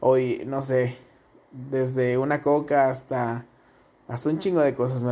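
Speaking in a Mexican accent, a man has a dark, mellow tone and ordinary pitch variation. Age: 20s. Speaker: podcaster and streamer. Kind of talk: casual vlog monologue. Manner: animated.

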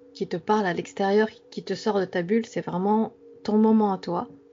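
A woman speaks at a medium pitch and a moderate pace, with fairly even intonation. Background noise is noticeable. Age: 30s. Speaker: dream enthusiast. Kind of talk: interview.

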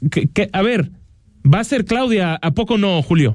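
At a moderate speed, a man talks with lively intonation. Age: 20s. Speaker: radio host. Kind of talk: radio interview.

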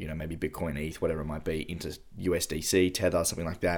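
There is a man with an Australian accent and fairly even intonation, captured in a very clean recording with a silent background. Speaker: podcast host. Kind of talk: casual chat.

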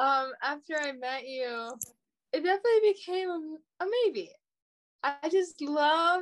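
In an American accent, the speaker uses lively intonation at a fairly slow pace, with long, frequent pauses. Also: woman, extremely high pitch for a woman. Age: 20s. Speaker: date guest. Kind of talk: casual chat.

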